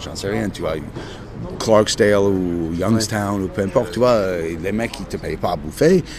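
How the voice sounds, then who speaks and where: A man with an American accent and a fairly low voice speaks with ordinary pitch variation, with audible room echo and noticeable background noise. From United States. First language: English (speaking French). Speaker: blues musician. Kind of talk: casual interview. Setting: outdoor café terrace.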